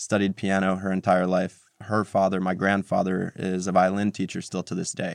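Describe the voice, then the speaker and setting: A man with a New Jersey accent and a very deep, low voice, at a moderate pace with hardly any pauses, in a very clean, dry, close recording with a silent background and no echo. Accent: New Jersey American. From New Jersey, US. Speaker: tech entrepreneur. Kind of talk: interview.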